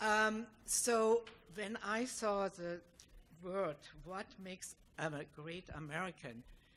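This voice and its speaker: The speaker talks very slowly in a German accent, with long, frequent pauses. Pitch varies in an ordinary way while loudness swings widely. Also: woman, medium pitch for a woman. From East Germany. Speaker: audience member asking question. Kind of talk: audience question.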